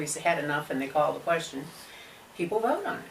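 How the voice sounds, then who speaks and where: There is audible room echo and noticeable background noise as a woman talks with a slight New England accent. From Cape Cod, Massachusetts. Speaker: local resident activist. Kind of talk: talk show interview.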